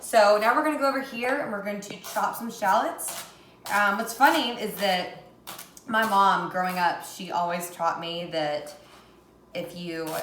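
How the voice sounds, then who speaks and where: A woman of medium pitch speaks at a fairly slow pace with lively intonation and big swings in loudness, amid audible room echo and noticeable background noise. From US South, Tennessee. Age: 20s. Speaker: cooking vlogger. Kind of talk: casual cooking tutorial.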